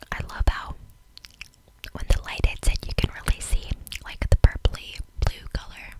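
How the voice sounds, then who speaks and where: A soft-spoken woman is whispering. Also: moderate pace. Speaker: beauty content creator. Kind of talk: soft ASMR product review chat. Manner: soft close-mic ASMR whisper. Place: home room. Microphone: studio mic.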